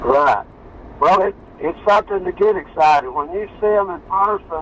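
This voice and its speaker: Over noticeable background noise, a man talks with high pitch at a moderate pace. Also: ordinary pitch variation. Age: 70s. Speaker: artifact collector. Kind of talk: casual conversation.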